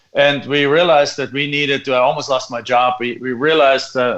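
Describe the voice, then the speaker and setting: Speaking at a moderate pace with a German accent, a man uses a medium pitch, a bright, sharp tone and fairly even intonation. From Germany. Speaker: real estate investor. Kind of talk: interview.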